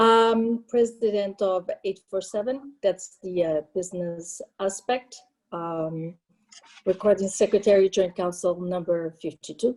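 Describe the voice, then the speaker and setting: A woman with a Portuguese accent, medium pitch, ordinary pitch variation and a fairly slow pace. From Portugal, raised in France. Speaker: union local president. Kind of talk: panel introduction on webinar.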